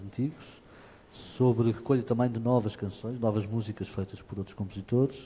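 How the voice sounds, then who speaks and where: A man speaks in a fairly low-pitched voice with a dark, mellow tone and fairly even intonation. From Portugal, Lisbon area. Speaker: fado singer. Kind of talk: interview. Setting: auditorium with audience. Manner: halting.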